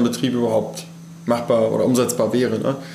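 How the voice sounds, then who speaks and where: Through audible room echo and noticeable background noise, a man is heard at a medium pitch. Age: 20s. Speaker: farmer and agriculture student. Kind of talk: interview. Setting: on the farm.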